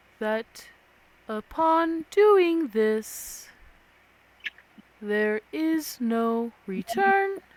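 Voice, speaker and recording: In a put-on character voice that sounds female, the speaker talks very slowly at a fairly high pitch, with long, frequent pauses. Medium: actual play. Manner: calm, measured.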